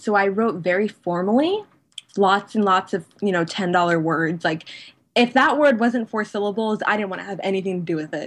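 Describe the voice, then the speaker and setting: A normal speaking voice from a woman with an American accent, medium pitch, ordinary pitch variation and a fairly quick pace. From United States. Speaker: blogger. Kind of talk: interview.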